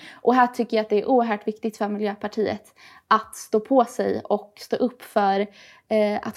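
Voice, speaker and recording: Here is a woman with an unremarkable speaking voice and fairly high pitch. She goes at a fairly slow pace with fairly even intonation. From Gothenburg, Sweden (Hisingen). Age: 20s. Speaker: youth party spokesperson. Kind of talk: political interview.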